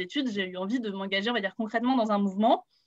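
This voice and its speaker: This woman's fairly high voice moves with ordinary pitch variation. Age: 20s. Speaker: youth political activist. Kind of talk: panel introduction. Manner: hesitant, many fillers.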